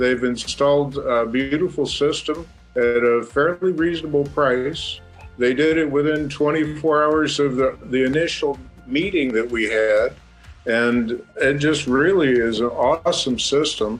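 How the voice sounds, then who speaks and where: A man speaks at a fairly slow pace with a fairly high pitch. His pitch varies in an ordinary way, with music playing in the background. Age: 60s. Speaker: homeowner, customer. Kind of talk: customer testimonial.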